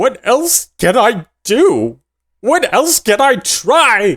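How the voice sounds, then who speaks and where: A put-on character voice growls at a fairly high pitch. The pace is very slow. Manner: desperate.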